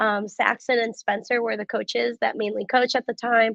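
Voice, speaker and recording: A woman talks at a fairly quick pace with a fairly high pitch. Her voice has vocal fry. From US Midwest, Cleveland, Ohio. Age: 20s. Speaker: athlete and fitness coach. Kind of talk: interview conversation.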